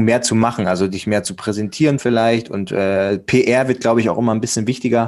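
A man with a normal speaking voice talks at a fairly quick pace and medium pitch with fairly even intonation, on a very clean recording with a silent background. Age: 20s. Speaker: male model and podcaster. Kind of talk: interview conversation. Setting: recorded guest appearance on another podcast.

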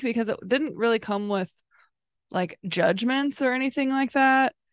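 A woman with a fairly high pitch talks at a moderate pace in a dry, close sound with no echo against a quiet background. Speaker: podcast host. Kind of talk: casual chat. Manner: monotone, not very expressive.

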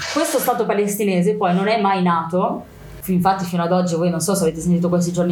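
With a fairly low pitch and monotone, flat intonation, a woman speaks at a very fast pace. Noticeable background noise and audible room echo fill the recording. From Milan, Italy. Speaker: activist speaker on Palestine. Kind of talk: interview.

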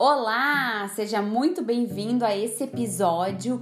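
At a very slow pace, a woman speaks with a fairly high pitch amid audible room echo. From Brazil, Rio Grande do Sul (São Borja). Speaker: nutritionist and weight-loss coach. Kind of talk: solo podcast monologue.

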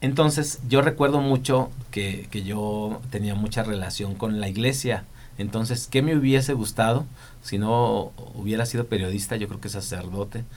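A man of medium pitch talks at a moderate pace with ordinary pitch variation and audible room echo. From Michoacán, Mexico. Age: 40s. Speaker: TV and events producer. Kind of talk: interview.

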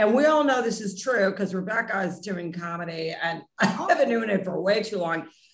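An unremarkable speaking voice from a woman at medium pitch, with ordinary pitch variation, a fairly quick pace and hardly any pauses. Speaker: podcast host. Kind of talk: casual interview chat.

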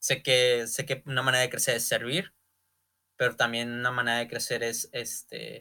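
A man talks at a moderate pace with a medium pitch and a bright, sharp tone. His intonation is monotone and flat, on a very clean recording with a silent background. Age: 20s. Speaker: podcast host, young entrepreneur. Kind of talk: solo motivational monologue. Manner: halting, many fillers and repetitions.

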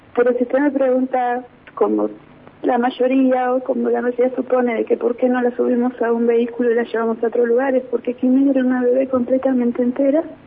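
Delivered at a fairly quick pace with very even loudness, the speech has monotone, flat intonation over noticeable background noise. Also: woman, high pitch for a woman. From Neuquén, Argentina. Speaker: grandmother and hospital worker. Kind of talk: phone interview testimony.

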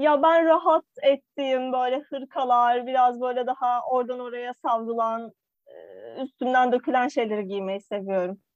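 Speaking at a fairly slow pace, a woman uses a high pitch with ordinary pitch variation. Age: 20s. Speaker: podcast co-host. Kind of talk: casual chat. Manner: animated.

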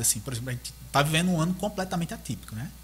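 This man's voice sits fairly high and carries a bright, sharp tone. His intonation is lively, with vocal fry. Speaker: 3D modeling artist. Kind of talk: casual chat. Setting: live-streamed podcast.

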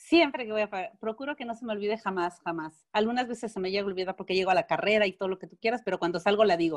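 A woman talks very fast in a Mexican accent, with hardly any pauses. Her loudness swings widely, and the sound is dry and close with no echo. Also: medium pitch for a woman. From Mexico. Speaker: alternative therapist. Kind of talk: interview.

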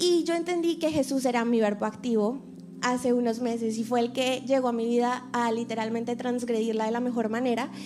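The pace of this woman's speech is moderate. Her pitch sits high. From Colombia. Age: 20s. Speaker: actress and reporter sharing testimony. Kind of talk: testimony.

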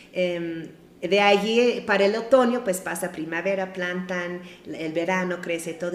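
Audible room echo surrounds a woman speaking at a fairly slow pace. Her voice is medium in pitch with ordinary pitch variation. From US Midwest (Ohio). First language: English (speaking Spanish). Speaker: missionary. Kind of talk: testimony.

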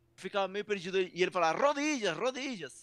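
This man has a high voice, lively intonation and a strong Peruvian accent. The sound is dry and close, with no echo. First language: Spanish (speaking Portuguese). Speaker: professional wrestler. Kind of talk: interview. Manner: halting.

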